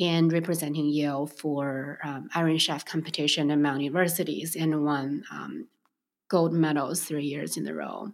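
A woman with a Chinese accent, moderate in pace, with ordinary pitch variation. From Beijing, China. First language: Mandarin Chinese. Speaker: restaurant co-founder. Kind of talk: interview. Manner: hesitant, with frequent fillers.

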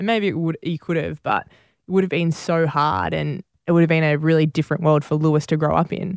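Talking fairly quickly with hardly any pauses, a woman with an Australian accent has a very deep, low pitch in a very clean recording with a silent background. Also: ordinary pitch variation, dry, close sound with no echo. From New South Wales, Australia (Campbelltown, Bargo). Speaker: professional netball and football player. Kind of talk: interview.

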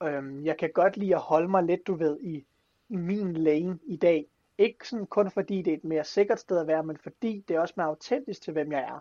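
Recorded with a dry, close sound with no echo against a quiet background, a man speaks at a moderate pace in a high pitch, his tone dark and mellow and his pitch variation ordinary. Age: 20s. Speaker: motivational speaker. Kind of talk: casual chat. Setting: video call. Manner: animated.

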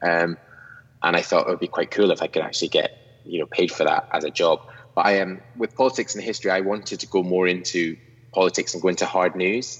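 A man with a Scottish accent speaks at a very fast pace. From Scotland. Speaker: YouTuber. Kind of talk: casual interview chat. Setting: video call; studio.

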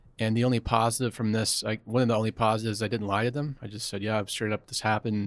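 On a very clean recording with a silent background, a man with an American accent speaks very fast at a medium pitch. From US South, Atlanta, Georgia. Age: 40s. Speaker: former Wall Street analyst, public speaker. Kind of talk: candid interview.

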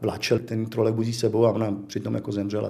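Monotone and flat in intonation, a man speaks with a dark, mellow tone at a fairly low pitch. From Czech Republic, South Bohemia (České Budějovice). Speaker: illustrator. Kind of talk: life-story interview, reminiscing.

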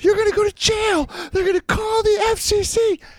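Extremely high-pitched, a put-on character voice at a moderate pace. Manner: loud, scolding, threatening.

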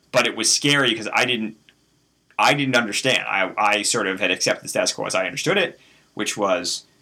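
Fairly quick speech from a man in a plain, everyday voice, pitch varying in an ordinary way. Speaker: host's husband. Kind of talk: casual interview.

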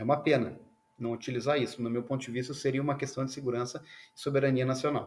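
Pitched at a medium level, a man's voice holds fairly even intonation throughout. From Rio Grande do Sul, southern Brazil. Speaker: semiconductor engineer. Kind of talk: interview; casual chat.

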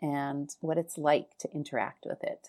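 Speaking at a moderate pace with a Canadian accent, a woman has a dark, mellow tone in a very clean recording with a silent background. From Winnipeg, Canada. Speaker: travel blogger. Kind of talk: recorded contribution, read-style.

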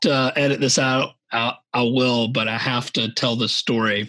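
Speaking at a fairly slow pace in an American accent, a man has a bright, sharp tone and medium pitch. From Savannah, Georgia, US South. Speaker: podcast host. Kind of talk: casual interview chat.

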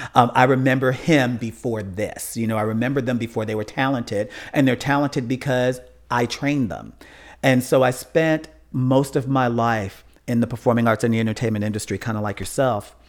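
A man with an American accent and a normal speaking voice talks at a fairly quick pace in a medium pitch with fairly even intonation, on a very clean recording with a silent background. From Chicago, US Midwest. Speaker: funeral and cemetery consultant. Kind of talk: interview.

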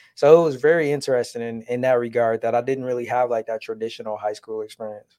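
A man's medium-pitched voice with an American accent, dark and mellow in tone, at a very fast pace with hardly any pauses. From Detroit area, Michigan. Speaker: podcast host. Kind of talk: casual chat. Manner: animated.

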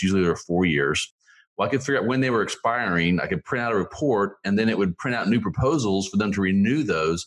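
This man's voice sits fairly low, with ordinary pitch variation. He talks at a very fast pace. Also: quiet background. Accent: American. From Oklahoma, Tulsa area. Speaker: small business lawyer. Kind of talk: interview.

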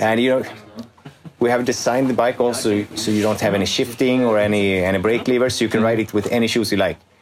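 A man talks at a very fast pace with medium pitch, monotone, flat intonation and very even loudness. Noticeable background noise can be heard. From Sweden. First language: Swedish (speaking German). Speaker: company CEO. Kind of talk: interview in English. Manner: hesitant with fillers.

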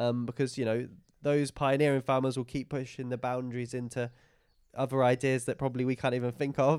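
Speaking with an East of England accent, a man at medium pitch talks at a fairly quick pace in a monotone, flat delivery, captured on a very clean recording over a silent background. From England, Lincolnshire/Cambridgeshire border. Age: 20s. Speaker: regenerative farmer. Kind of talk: interview. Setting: on the farm, in person.

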